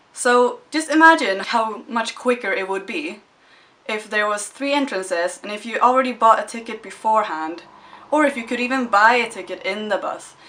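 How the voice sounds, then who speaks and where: At a moderate pace, the speaker's loudness swings widely while pitch varies in an ordinary way, with noticeable background noise. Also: woman, fairly high pitch for a woman. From Sweden. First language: Swedish. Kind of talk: casual talk to camera. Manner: lighthearted, upbeat.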